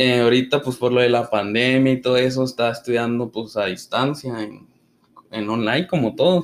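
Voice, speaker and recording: Here is a man with a plain, everyday voice at a medium pitch. His pace is moderate and his intonation fairly even. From northern Mexico, Chihuahua. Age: 20s. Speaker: podcast host. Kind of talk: casual chat.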